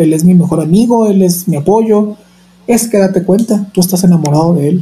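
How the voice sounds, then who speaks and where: Man's high voice at a moderate pace, with ordinary pitch variation. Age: 30s. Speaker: nurse and opera singer. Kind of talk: interview. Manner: talkative, energetic.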